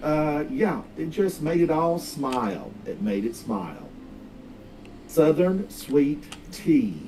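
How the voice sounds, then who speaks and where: A man at a very slow pace with an American accent and very wide pitch swings. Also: fairly high pitch for a man. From US South, North Carolina (Smoky Mountains). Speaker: video game streamer. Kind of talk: casual live-stream chat while gaming. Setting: live stream.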